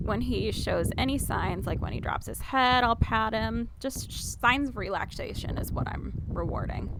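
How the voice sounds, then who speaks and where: With audible room echo around her, a woman talks at a moderate pace with hardly any pauses. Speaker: equestrian vlogger. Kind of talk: voice-over narration of riding footage.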